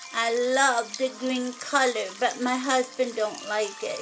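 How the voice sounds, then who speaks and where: A woman's cartoonish character voice, high-pitched, over clear background noise. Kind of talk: children's puppet show. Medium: puppet show. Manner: chatty, friendly.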